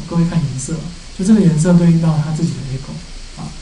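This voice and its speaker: Light background noise and audible room echo accompany a man speaking fairly quickly at a high pitch with fairly even intonation. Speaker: university lecturer. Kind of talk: lecture.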